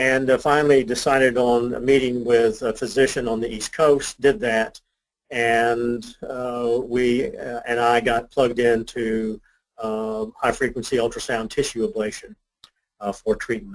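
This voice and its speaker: A man's medium-pitched voice, fairly even in intonation, at a fairly slow pace. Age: 60s. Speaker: cardiologist, patient. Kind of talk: patient testimonial interview. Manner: hesitant with fillers.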